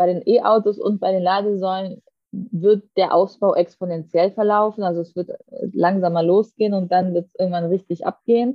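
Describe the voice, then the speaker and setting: A woman speaks in a normal speaking voice. Her pitch is medium and her pace is moderate. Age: 30s. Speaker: politician. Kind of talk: interview.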